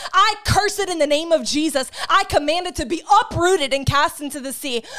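With an extremely high pitch, a woman speaks at a moderate pace in an intense, animated tone, her pitch varying in an ordinary way against noticeable background noise. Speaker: online preacher. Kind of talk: fervent prayer, spoken as an intercession over viewers; sermon-style teaching on healing. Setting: live online broadcast. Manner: intense, earnest and pleading, with a rising rhythm; animated, warm, encouraging.

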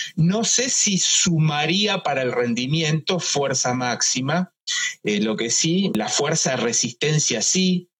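Speaking at a very slow pace, a man uses a fairly high pitch and lively intonation while keeping his loudness very even. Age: 50s. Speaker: sports medicine doctor. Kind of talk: interview. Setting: live Instagram video.

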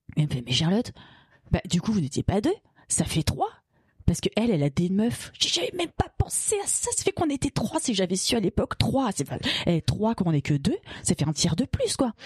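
Speaking at a fairly quick pace, a woman sounds somewhat breathy at a medium pitch with very wide pitch swings. The sound is dry and close, with no echo. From Paris region, France. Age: 40s. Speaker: feminist activist. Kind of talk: personal testimony. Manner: halting.

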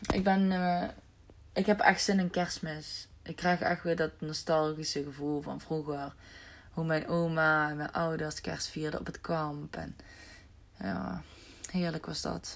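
A woman speaks at a very slow pace in a very deep, low pitch with ordinary pitch variation, on a very clean recording with a silent background. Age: 20s. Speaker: podcast host, self-employed. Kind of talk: casual solo monologue. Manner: animated, casual.

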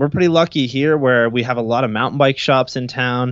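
A man's medium-pitched voice at a fairly quick pace, with ordinary pitch variation, against a quiet background. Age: 20s. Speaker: BMX rider and podcaster. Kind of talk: casual chat.

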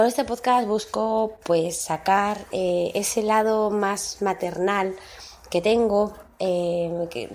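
A woman talks at a medium pitch. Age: 30s. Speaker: podcast host. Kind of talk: casual monologue. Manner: hesitant, many fillers.

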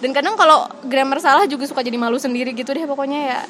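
Against noticeable background noise, a woman talks at a very fast pace in a high pitch. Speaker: podcast co-host and teacher. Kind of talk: casual chat.

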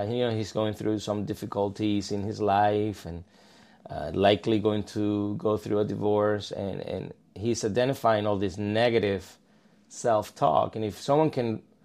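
Here a man speaks with a Spanish accent. His pitch sits fairly low. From southern Spain (Malaga). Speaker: counselor. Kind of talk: casual interview. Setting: office.

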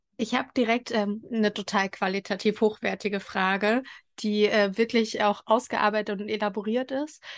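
Against a quiet background, a woman speaks at a moderate pace in a fairly high pitch with monotone, flat intonation. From eastern Germany (Thuringia). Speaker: podcast host. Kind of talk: casual interview.

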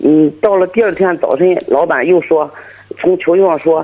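The speaker is a man with a high-pitched voice. He goes at a moderate pace. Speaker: parent caller. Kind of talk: phone-in advice call. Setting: phone call.

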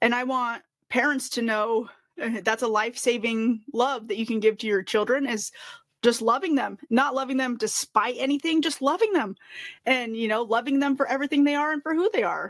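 A high-pitched woman with an American accent, ordinary pitch variation, a moderate pace, and a very clean recording over a silent background. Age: 30s. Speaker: podcast host. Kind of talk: casual chat. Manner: animated.

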